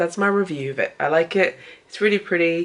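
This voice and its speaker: A woman with a fairly low pitch and a British accent. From UK. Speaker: artist vlogger. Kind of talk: casual vlog talk. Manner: hesitant, many fillers.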